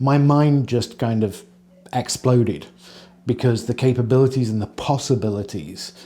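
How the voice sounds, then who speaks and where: A man with an English accent has a dark, mellow tone at a medium pitch. He talks at a fairly slow pace with ordinary pitch variation. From England. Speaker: company employee, former games industry worker. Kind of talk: documentary interview.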